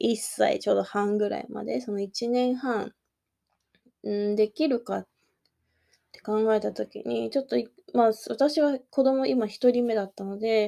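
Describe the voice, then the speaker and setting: A woman speaks at a fairly slow pace, her loudness swinging widely. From Kanagawa, Japan. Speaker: podcast host, life coach and working mother. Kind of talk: casual solo podcast talk.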